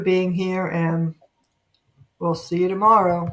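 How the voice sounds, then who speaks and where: Speaking very slowly, a woman has a New York accent. Her pitch sits in the middle of the range. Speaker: livestream talk show host. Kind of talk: casual chat.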